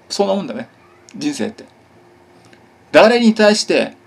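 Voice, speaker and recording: With very wide pitch swings, a man speaks at high pitch and a moderate pace. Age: 40s. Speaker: YouTuber; vlogger. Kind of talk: casual monologue. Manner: hyper, excitable; stumbling speech. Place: home room. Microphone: phone near.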